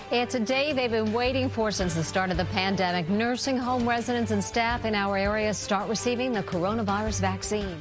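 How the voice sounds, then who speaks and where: Over music in the background, a woman talks at a fairly quick pace with very even loudness and hardly any pauses. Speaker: TV news anchor. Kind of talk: TV news anchor read.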